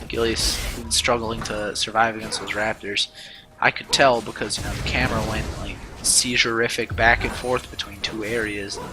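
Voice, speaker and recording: Music plays in the background. Over it, a man speaks at medium pitch in a monotone, flat delivery. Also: moderate pace. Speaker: amateur esports caster. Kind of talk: live commentary.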